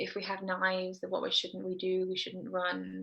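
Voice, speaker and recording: A soft-spoken woman at a fairly slow pace. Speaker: dietitian running kids' nutrition programs. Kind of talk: interview.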